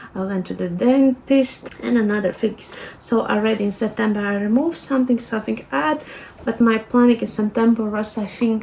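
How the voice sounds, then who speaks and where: A fairly high-pitched woman with a Latvian accent, ordinary pitch variation and a moderate pace, over noticeable background noise. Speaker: lifestyle vlogger. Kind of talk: tutorial. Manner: casual, hesitant with fillers.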